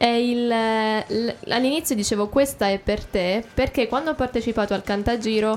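A woman speaks at a moderate pace in an unremarkable speaking voice with a fairly high pitch and fairly even intonation. The recording is very clean, with a silent background. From Abruzzo, Italy (Teramo). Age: 20s. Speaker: singer-songwriter. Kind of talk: radio interview. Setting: radio studio.

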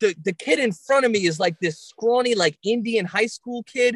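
A fairly quick delivery in a New York accent. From Long Island, New York. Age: 30s. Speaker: comedian. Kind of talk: casual chat.

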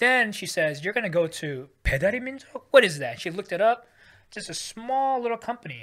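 A man with a Californian accent talks very fast, his pitch swinging very widely. The recording is very clean, with a silent background. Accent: Californian American. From US, San Francisco Bay Area. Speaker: tech executive. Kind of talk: casual interview.

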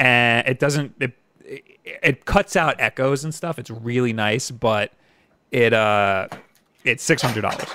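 A man with an American accent talks at a fairly slow pace with long, frequent pauses, his medium-pitched voice bright and sharp with ordinary variation. The sound is dry and close, with no echo. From New York, Long Island. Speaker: gaming YouTuber and live stream host. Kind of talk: casual chat. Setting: live stream.

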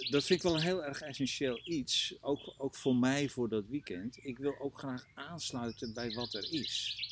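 Against noticeable background noise, a man with a fairly high voice and ordinary pitch variation speaks at a moderate pace. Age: 60s. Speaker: coach and trainer. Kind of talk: casual interview. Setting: outdoors in a garden. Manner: halting, many repetitions.

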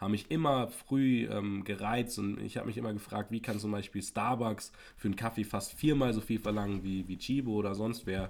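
An ordinary speaking voice from a man, fairly low in pitch, at a moderate pace with fairly even intonation and hardly any pauses, on a very clean recording over a silent background. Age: 20s. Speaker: podcast co-host. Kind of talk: casual chat. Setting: home podcast setup.

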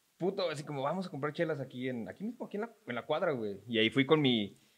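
Speaking in a Mexican accent, a man races along at a very fast pace with lively intonation. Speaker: podcast host. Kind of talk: casual chat. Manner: animated.

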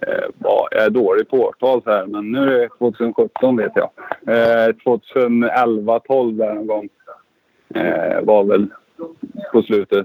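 Dry and close with no echo, the speech moves at a very slow pace. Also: man. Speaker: former motocross rider and team coach. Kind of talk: casual chat.

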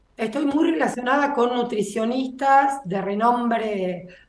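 Very slow speech from a woman, high-pitched, ordinary pitch variation, audible room echo around it. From Buenos Aires, Argentina. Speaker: agronomist and soybean breeder. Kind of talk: interview.

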